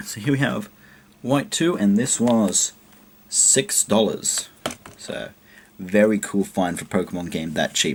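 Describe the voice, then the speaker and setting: A quiet man at a moderate pace over light background noise. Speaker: video game collector YouTuber. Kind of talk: casual show-and-tell vlog. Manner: quiet, keeping voice down. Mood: pleased, relaxed. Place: home room. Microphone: webcam.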